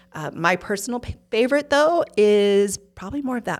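In a Utah accent, a woman speaks at a moderate pace with an animated tone. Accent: Utah American. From Utah, Provo. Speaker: interior design business owner. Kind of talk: interview.

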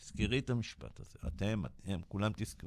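This is a man talking. His pace is moderate. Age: 60s. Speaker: business coach. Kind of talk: radio interview. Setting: radio studio.

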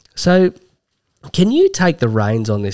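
A man in an Australian accent talks at a moderate pace with lively intonation. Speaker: sports podcast co-host. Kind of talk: casual chat.

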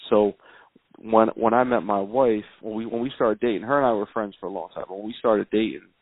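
Fairly low in pitch, a man talks at a fairly quick pace with an American accent. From South Philadelphia. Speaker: rapper. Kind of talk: casual chat.

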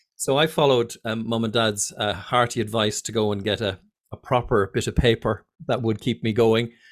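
At a moderate pace, a man speaks at a medium pitch with an Irish accent. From Ireland. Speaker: fear of flying coach and pilot. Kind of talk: casual interview. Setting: video call. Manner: animated.

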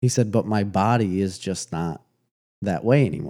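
A man with a plain, everyday voice speaks at a fairly low pitch with ordinary pitch variation. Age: 30s. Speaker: podcast co-host. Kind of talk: casual chat.

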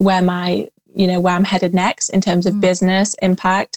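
A woman speaks in a passionate tone at a moderate pace and medium pitch. The sound is dry and close, with no echo. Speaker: spiritual healer and tarot reader. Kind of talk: casual chat. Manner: passionate, flowing.

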